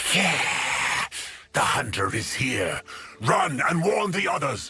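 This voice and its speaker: Putting on a character voice, a man talks at a very slow pace. His pitch is fairly high. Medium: game stream. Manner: sneering, theatrical.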